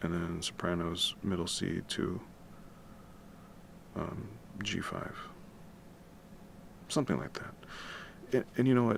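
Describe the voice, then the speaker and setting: The speaker whispers at a fairly slow pace, leaving long, frequent pauses. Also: man. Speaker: musician and composer livestreaming. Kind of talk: casual livestream tutorial. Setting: home at night, livestream. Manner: quiet, keeping voice down; casual, with many fillers.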